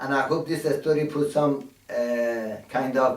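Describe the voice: What you hear is a plain read-aloud passage.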